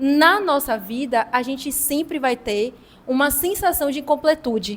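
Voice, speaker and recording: A woman talks with a high pitch and lively intonation. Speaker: discussion facilitator. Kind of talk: group talk. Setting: hostel gathering.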